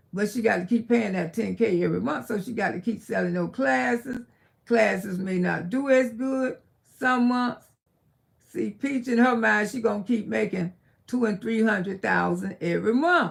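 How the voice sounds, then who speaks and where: With an American accent and vocal fry, a woman speaks at a moderate pace and medium pitch using lively intonation. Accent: country Geechee Southern. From South Florida, Miami. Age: 60s. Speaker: live-stream commentator. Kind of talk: casual live-stream chat. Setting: live stream from her bedroom. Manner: animated.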